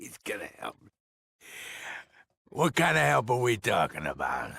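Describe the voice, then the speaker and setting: A man's raspy put-on character voice, medium in pitch, with very wide pitch swings at a moderate pace. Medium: video game. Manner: menacing, self-important.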